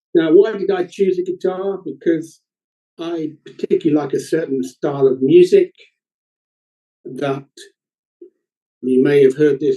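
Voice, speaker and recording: Fairly high-pitched male voice, fairly slow, with ordinary pitch variation and long, frequent pauses. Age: 60s. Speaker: deafblind musician and singer-songwriter. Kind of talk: roundtable talk.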